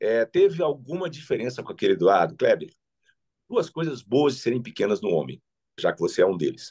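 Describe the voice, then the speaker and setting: Recorded in a dry, close sound with no echo, a man talks at a fairly quick pace. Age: 60s. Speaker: politician. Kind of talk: interview.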